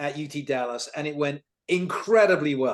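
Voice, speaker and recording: With a British accent, a man talks at a moderate pace in a fairly high pitch. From United Kingdom. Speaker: tech company CEO. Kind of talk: talk presentation. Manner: animated.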